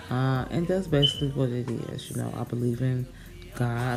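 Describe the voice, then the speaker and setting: Over music in the background and with audible room echo, a woman with an American accent speaks at a moderate pace. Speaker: makeup vlogger. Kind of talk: tutorial; casual chat. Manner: halting, tongue-tied at times.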